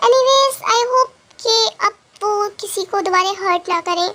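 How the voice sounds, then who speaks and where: A woman uses a put-on character voice at an extremely high pitch. She speaks at a moderate pace with ordinary pitch variation. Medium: read story. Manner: soft, earnest.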